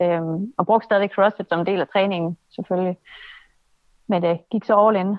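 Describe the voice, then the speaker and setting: Her intonation stays monotone and flat as a woman talks at a medium pitch. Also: moderate pace. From Denmark, Aalborg (North Jutland). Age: 20s. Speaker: obstacle course racer and personal trainer. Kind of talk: interview. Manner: hesitant, many filler sounds.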